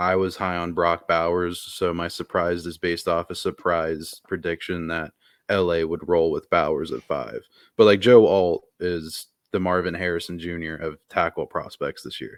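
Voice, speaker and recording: The delivery is monotone and flat at a moderate pace. The recording is very clean with a silent background and has a dry, close sound with no echo. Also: man, very deep, low pitch for a man. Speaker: sports podcast co-host. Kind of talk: casual chat. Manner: laid-back.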